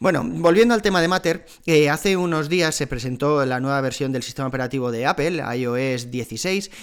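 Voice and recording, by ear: A man speaks at a fairly quick pace with a fairly high pitch and ordinary pitch variation.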